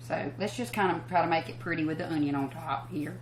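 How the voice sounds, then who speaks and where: A woman speaks at a fairly quick pace with ordinary pitch variation. There is audible room echo and noticeable background noise. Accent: Southern US. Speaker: country singer hosting a cooking show. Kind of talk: cooking show tutorial. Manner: fast; casual, chatty.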